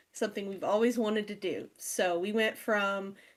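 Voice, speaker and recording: Using a plain, everyday voice, a woman speaks at a moderate pace with a fairly high pitch and ordinary pitch variation, on a very clean recording with a silent background. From Oklahoma, US. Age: 20s. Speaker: podcast co-host and streamer. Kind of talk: casual chat.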